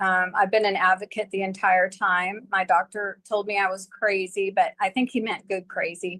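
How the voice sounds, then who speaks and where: Medium-pitched, bright, sharp tone from a woman at a moderate pace, monotone and flat, with a dry, close sound and no echo. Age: 60s. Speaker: chronic pain patient and advocate. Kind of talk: panel discussion testimony.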